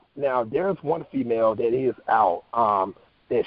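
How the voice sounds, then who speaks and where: Talking at a fairly slow pace, a man with an American accent has a normal speaking voice at medium pitch. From North Carolina. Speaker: actor and talk show host. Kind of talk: interview.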